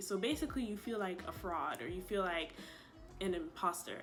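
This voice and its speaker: A woman with lively intonation over music in the background. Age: 20s. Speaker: incoming public health graduate student. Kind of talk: casual sit-down talk to camera.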